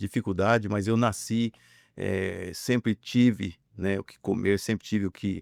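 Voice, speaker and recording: Recorded very cleanly against a silent background with a dry, close sound and no echo, a man talks fairly slowly at a fairly low pitch with fairly even intonation. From interior of São Paulo state, Brazil. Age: 60s. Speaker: businessman. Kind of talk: interview testimony. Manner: halting, many fillers.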